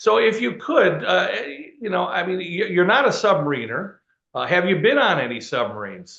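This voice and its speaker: In an American accent, the speaker goes at a moderate pace amid audible room echo. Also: man. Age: 60s. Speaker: museum director and interviewer. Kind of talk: interview. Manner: halting, many fillers.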